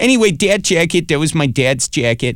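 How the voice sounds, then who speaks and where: With a slight Wisconsin accent, a man speaks at a fairly quick pace using lively intonation. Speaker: comedian and web show host. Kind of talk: casual interview chat. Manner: halting, filler-heavy.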